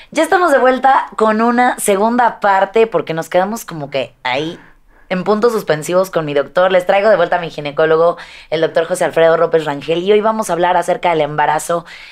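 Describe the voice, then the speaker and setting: Lively intonation and a fairly quick pace against a quiet background. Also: woman, fairly low pitch for a woman. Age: 30s. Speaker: fitness vlogger. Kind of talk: casual interview. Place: studio. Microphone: studio mic.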